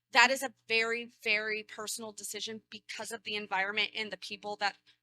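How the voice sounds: A woman talks at a fairly quick pace with a fairly high pitch and a bright, sharp tone, in a dry, close sound with no echo.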